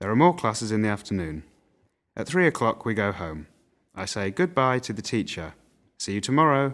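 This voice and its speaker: Against a quiet background, a man with a fairly low pitch talks in very wide pitch swings, leaving long, frequent pauses. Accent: Mancunian. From northern England, Manchester. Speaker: language teaching narrator. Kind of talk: reading aloud. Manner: slow; formal.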